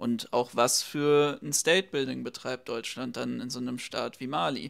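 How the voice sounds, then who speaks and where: The background here is quiet. A man talks at a moderate pace. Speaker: left-wing YouTube commentator. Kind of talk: reaction video commentary. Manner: animated. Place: home room.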